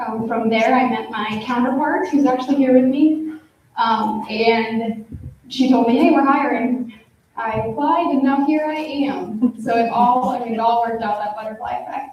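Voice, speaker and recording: A woman with an American accent, high-pitched, at a moderate pace, fairly even in intonation, with audible room echo. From US Midwest, Iowa. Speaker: social worker, panelist. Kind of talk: panel self-introduction.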